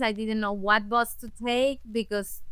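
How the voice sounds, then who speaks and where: A woman with a Spanish accent speaks at a fairly slow pace in a bright, sharp tone, her fairly high pitch held in fairly even intonation. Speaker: language access advocate and interpreter. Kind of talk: interview conversation. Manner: halting with self-corrections.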